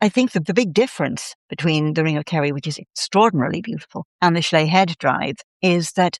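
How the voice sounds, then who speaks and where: Against a quiet background, a woman with a Dublin accent talks at a fairly quick pace, with fairly low pitch and ordinary pitch variation. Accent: Irish (Dublin). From Ireland, Dublin. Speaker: writer and storyteller. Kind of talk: casual interview chat.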